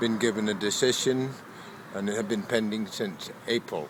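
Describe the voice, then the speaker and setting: With a Danish accent and a medium pitch, a man talks over noticeable background noise. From Denmark. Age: 60s. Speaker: homeless man. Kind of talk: interview testimony.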